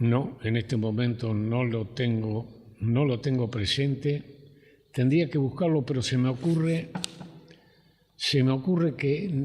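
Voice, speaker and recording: A man speaks at a very slow pace in a medium-pitched voice, his loudness very even throughout. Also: ordinary pitch variation. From Argentina, Rivera (Buenos Aires province). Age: 80s+. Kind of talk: oral history interview. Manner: halting, hesitant.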